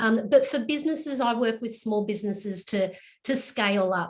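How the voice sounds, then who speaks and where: Over a quiet background, a woman with a somewhat breathy voice speaks at a moderate pace with ordinary pitch variation. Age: 50s. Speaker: small business coach. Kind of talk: casual chat.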